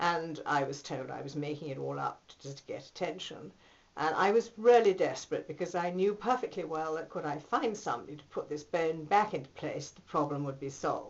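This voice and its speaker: Speaking at a moderate pace with a British accent, a woman uses a very deep, low pitch. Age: 60s. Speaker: patient giving a testimonial. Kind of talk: testimony. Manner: hesitant, with many fillers.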